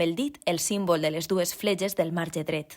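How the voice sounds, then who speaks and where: In a Valencian accent, a woman speaks at medium pitch and a fairly slow pace with ordinary pitch variation, on a very clean recording with a silent background. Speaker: voice-over narrator. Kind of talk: tutorial narration.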